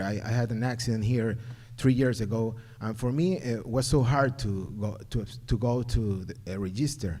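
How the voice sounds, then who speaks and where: Audible room echo surrounds a man's dark, mellow voice at a medium pitch. His pitch variation is ordinary. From Ecuador. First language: Spanish. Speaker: parent. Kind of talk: public comment at community forum. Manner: halting.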